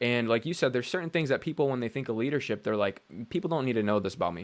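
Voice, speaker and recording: The man's voice sits at medium pitch with ordinary pitch variation. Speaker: podcast host. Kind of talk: interview conversation.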